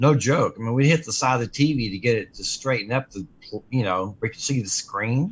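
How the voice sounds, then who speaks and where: Speaking at a fairly quick pace, a man with a medium pitch and a somewhat breathy voice shows ordinary pitch variation and big swings in loudness. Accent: American. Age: 60s. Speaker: radio co-host, guitar business owner. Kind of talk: casual chat.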